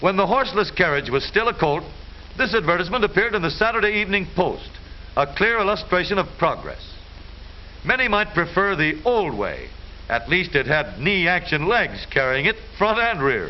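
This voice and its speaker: Upbeat in tone, a man speaks at a high pitch and moderate pace with lively intonation and very even loudness, noticeable background noise behind him. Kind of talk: newsreel narration. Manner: upbeat, wry.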